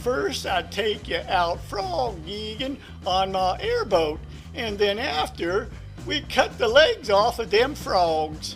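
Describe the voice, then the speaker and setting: Clear music plays in the background. A man performs a cartoonish character voice at a fairly slow pace. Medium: puppet.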